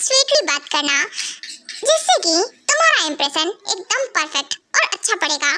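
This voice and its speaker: A woman's squeaky, put-on character voice at an extremely high pitch, with very wide pitch swings. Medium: fan dub. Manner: bossy, teasing.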